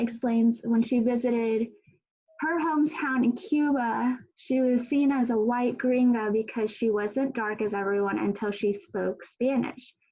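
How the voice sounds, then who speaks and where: In a normal speaking voice, a woman talks at a fairly high pitch and a fairly slow pace with fairly even intonation. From Colorado. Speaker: panel moderator. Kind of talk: panel discussion.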